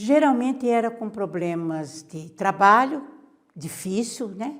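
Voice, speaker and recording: Lively intonation from a woman, fairly high in pitch, at a very slow pace. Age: 70s. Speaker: activist. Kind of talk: interview.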